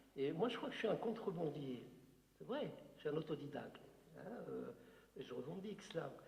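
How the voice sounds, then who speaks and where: Room echo is audible as a man speaks at a moderate pace with long, frequent pauses. His pitch is fairly high and his intonation lively. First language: Algerian Arabic (speaking French). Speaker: writer. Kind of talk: Q&A talk at a literary conference. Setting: conference with audience. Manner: hesitant, many fillers.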